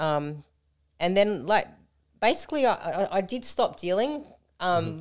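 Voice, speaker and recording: Over a silent background in a very clean recording, a woman with an Australian accent speaks at a moderate pace and medium pitch, with very wide pitch swings and long, frequent pauses. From Australia, Melton in western Melbourne. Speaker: co-founder of a women's support organisation, former nightclub runner. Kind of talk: casual podcast chat. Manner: animated.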